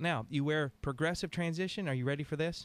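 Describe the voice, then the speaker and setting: A man speaks at a fairly quick pace with ordinary pitch variation, recorded with a dry, close sound and no echo. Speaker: optical shop owner and radio show host. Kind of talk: radio call-in show. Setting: radio studio. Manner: fast; animated.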